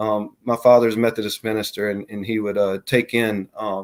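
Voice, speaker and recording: Fairly low-pitched male voice with a Southern US accent, fairly quick in pace and monotone, flat in intonation. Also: very clean recording, silent background. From US South, Mississippi (Gulfport, Jackson). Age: 40s. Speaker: bigfoot and paranormal witness. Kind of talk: interview testimony. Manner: halting, many fillers.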